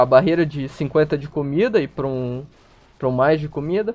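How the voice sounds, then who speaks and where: An unremarkable speaking voice from a man, fairly high in pitch, with ordinary pitch variation and a moderate pace. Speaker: streamer. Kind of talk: casual chat. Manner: casual, chatty.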